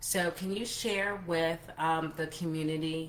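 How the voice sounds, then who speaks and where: With audible room echo, a woman speaks in a very deep, low pitch with ordinary pitch variation. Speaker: travel entrepreneur and livestream host. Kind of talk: live interview. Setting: Facebook group livestream. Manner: stumbling over words.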